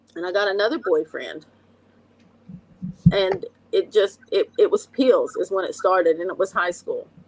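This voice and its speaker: A woman with an American accent speaks at a moderate pace, leaving long, frequent pauses. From West Virginia, Logan (Appalachia). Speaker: recovery coach and addiction counselor. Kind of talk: personal testimony in an interview.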